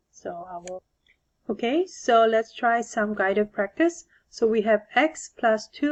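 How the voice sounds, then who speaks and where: A woman with a fairly high pitch speaks at a fairly slow pace, her intonation lively. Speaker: math teacher. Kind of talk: tutorial. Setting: recorded homework video.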